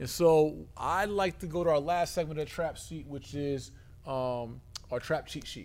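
A man with a normal speaking voice, fairly high pitch, ordinary pitch variation, moderate pace and big swings in loudness. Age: 40s. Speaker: podcast host. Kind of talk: podcast interview; show outro. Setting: studio.

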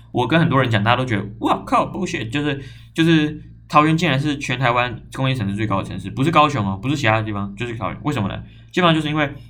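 Music in the background and audible room echo accompany a man speaking very fast in a medium pitch with lively intonation. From Taiwan, Zhongli (Taoyuan). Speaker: podcast host. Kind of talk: casual solo talk. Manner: animated.

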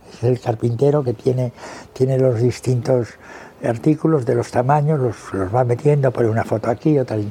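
The pace is fairly quick, with ordinary pitch variation. Noticeable background noise sits behind the voice. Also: man. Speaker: veteran journalist. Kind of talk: interview reminiscence. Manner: halting, with frequent repetitions.

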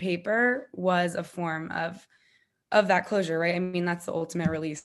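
A woman with an American accent speaks at a fairly quick pace in a medium pitch. She has an ordinary speaking voice against a quiet background. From US Northeast (Connecticut). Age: 20s. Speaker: author. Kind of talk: interview.

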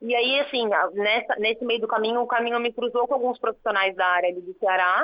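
A woman talks at a fairly quick pace and a fairly high pitch. Her intonation stays fairly even. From São Paulo city, Brazil. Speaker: sports lawyer. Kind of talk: interview.

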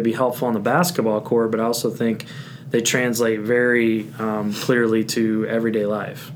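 In an American accent, a man at medium pitch speaks at a moderate pace with monotone, flat intonation, amid audible room echo and noticeable background noise. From Indiana. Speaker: high school principal. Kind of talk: casual chat.

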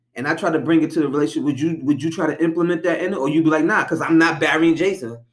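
Talking at a very fast pace with hardly any pauses, a man keeps his fairly high voice at a fairly even intonation. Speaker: podcast co-host. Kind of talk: heated argument. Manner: defensive, argumentative.

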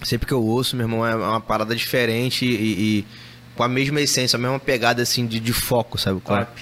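This man talks at a very fast pace. His loudness stays very even throughout. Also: medium pitch for a man. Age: 30s. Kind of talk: casual chat. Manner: animated.

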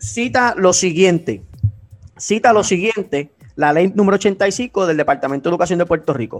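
A man's high-pitched voice with lively intonation over music in the background. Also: moderate pace. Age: 20s. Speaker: teacher. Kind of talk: casual chat.

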